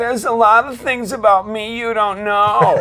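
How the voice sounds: This is a put-on character voice at a moderate pace with a fairly high pitch. It sounds whiny, with a whiny tone.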